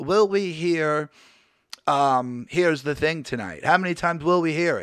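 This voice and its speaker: A man's voice is gravelly and hoarse, with a high pitch. He talks at a moderate pace. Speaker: wrestling show host. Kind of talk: casual live hangout show. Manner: hoarse, gravelly delivery.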